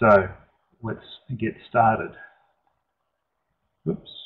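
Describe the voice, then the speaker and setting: He speaks with an Australian accent. The voice belongs to a man. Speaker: engineer presenting a webinar. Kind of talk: webinar presentation. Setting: online webinar. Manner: hesitant, many fillers.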